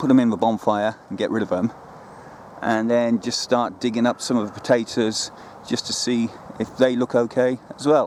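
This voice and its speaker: A man with a British accent at medium pitch, monotone and flat in intonation, amid noticeable background noise. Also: moderate pace. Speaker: allotment gardening vlogger. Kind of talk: casual outdoor video vlog. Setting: outdoors on allotment plot. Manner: loud, raised voice over wind.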